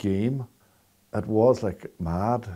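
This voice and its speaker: A man with a Northern Irish accent speaks in a dark, mellow tone at a fairly low pitch, his intonation fairly even. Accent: Derry Northern Irish. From Derry, Northern Ireland. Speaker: storyteller. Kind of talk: interview answer.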